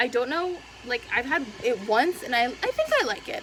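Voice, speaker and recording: A woman talks over noticeable background noise. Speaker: booktuber. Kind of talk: casual vlog chat. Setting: at home. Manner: fast.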